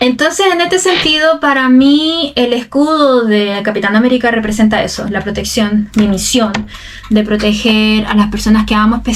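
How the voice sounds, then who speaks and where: With a Chilean accent, a woman speaks at a moderate pace and a fairly high pitch. Her intonation is lively, and noticeable background noise is present. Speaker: Spanish teacher. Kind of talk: casual talk to camera. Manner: casual, unscripted.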